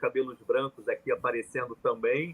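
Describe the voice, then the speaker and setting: A man with a Rio de Janeiro accent talks at a moderate pace. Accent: Rio de Janeiro (carioca), hissing sibilants. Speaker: journalist and professor. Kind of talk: live panel discussion.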